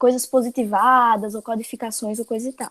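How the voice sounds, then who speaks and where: A woman's speech comes across with a dry, close sound that has no echo. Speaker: teacher. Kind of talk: lecture.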